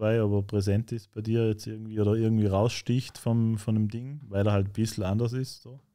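A man with a Vorarlberg accent talks at a moderate pace with hardly any pauses, his fairly low voice dark, mellow, and monotone with flat intonation. The background is quiet. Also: big swings in loudness. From Austria, Vorarlberg. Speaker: rapper; guest. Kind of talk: casual interview chat. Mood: relaxed, conversational. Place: studio. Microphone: studio mic.

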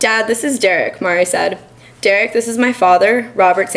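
In a natural reading voice, pitch moves up and down by an ordinary amount.

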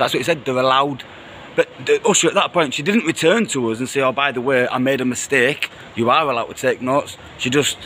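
A man talks at a very fast pace with ordinary pitch variation. Light background noise is present. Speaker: vlogger reporting outside court. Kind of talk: casual vlog chat. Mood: indignant, animated. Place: street. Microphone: phone near.

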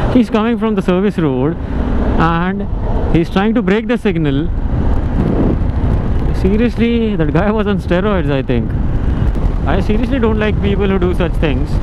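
The speech comes at a moderate pace with long, frequent pauses. The sound is dry with no echo, under loud background noise. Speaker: motorcycle vlogger. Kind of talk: casual vlog commentary. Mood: annoyed at other drivers. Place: motorbike.

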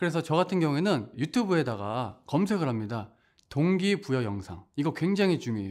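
Set against a quiet background, a man with a fairly high pitch speaks fairly quickly, his voice swinging very widely in pitch. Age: 30s. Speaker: network marketing distributor. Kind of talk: testimony.

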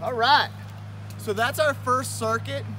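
At a fairly slow pace, a man speaks with a dry sound that has no echo, against noticeable background noise. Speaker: fitness instructor. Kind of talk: tutorial. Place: garden.

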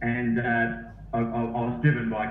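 Music plays in the background. A man talks at a medium pitch with an Australian accent. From Australia, Sydney. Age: 40s. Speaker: running coach. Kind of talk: interview.

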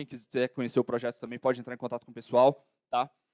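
Very fast speech from a man against a quiet background. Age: 20s. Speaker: entrepreneur and conference speaker; conference speaker. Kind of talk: lecture. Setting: stage with audience. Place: hall. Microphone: handheld.

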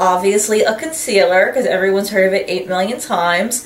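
A woman speaks with audible room echo. There is light background noise. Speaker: beauty vlogger. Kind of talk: casual vlog chat. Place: home room. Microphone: camera far.

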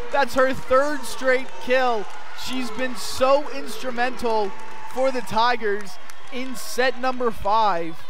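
A man speaks at a very slow pace with extremely high pitch and ordinary pitch variation. The sound is dry with no echo, and there is noticeable background noise. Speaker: sports play-by-play broadcaster. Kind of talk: live sports play-by-play commentary. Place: hall. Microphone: headset.

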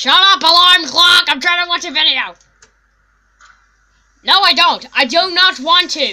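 An extremely high, cartoonish character voice moves at a moderate pace, broken by long, frequent pauses. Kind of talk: comic overacting. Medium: puppet show. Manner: brash, excitable, mock-scared.

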